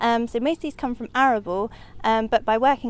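A woman talks at a very fast pace. Her voice is fairly high, with ordinary pitch variation. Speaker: conservation officer. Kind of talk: interview. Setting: outdoors.

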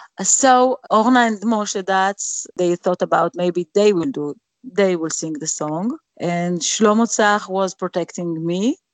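A woman's medium-pitched voice at a very slow pace, with an Israeli accent and ordinary pitch variation. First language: Hebrew. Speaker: singer. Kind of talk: interview. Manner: halting.

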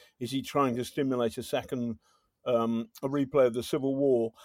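On a very clean recording with a silent background, a man with an English accent speaks at medium pitch and a moderate pace, his intonation fairly even. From Britain. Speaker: journalist, podcast host. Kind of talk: casual chat. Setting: drinking wine while recording. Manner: halting.

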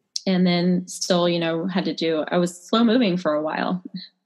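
The speech moves at a fairly slow pace with fairly even intonation. Music plays in the background. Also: woman. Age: 30s. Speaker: chiropractor. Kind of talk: interview.

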